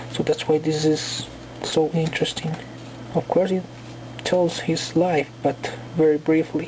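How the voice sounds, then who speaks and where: Over noticeable background noise, a woman with a very deep, low pitch speaks fairly slowly with fairly even intonation. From Colombia. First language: Spanish. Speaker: book reviewer. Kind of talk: casual video review. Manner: halting, many fillers.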